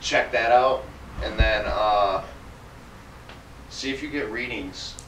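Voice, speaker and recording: A man's voice comes through audible room echo and light background noise. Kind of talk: casual conversation. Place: home room.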